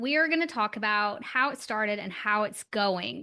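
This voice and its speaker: Speaking at a moderate pace, a woman uses a raised, projected voice with lively intonation and an upbeat tone. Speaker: podcast host. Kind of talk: interview questions.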